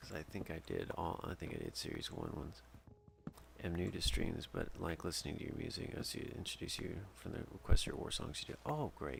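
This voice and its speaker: Soft-spoken, the voice moves along at a fairly quick pace. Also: man. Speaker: gaming streamer and music composer. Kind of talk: casual live stream chat while gaming. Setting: home stream, late night. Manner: halting, many fillers.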